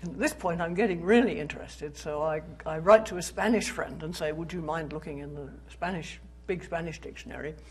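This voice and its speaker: A woman with a British accent, fairly low pitch and ordinary pitch variation, speaking at a fairly quick pace amid audible room echo. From Britain. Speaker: philosophy professor. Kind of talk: public lecture. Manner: conversational, with fillers.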